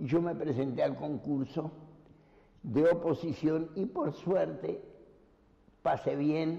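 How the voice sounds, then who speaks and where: Speaking at a very slow pace with long, frequent pauses, a man has a fairly high pitch and a dark, mellow tone. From Uruguay, Montevideo. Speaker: painter. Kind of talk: life story interview.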